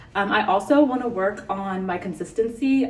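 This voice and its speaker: A woman talks at a medium pitch with ordinary pitch variation. Noticeable background noise and audible room echo fill the recording. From US West Coast, San Francisco Bay Area. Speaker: beauty vlogger. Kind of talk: casual chat. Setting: hotel room. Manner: fast.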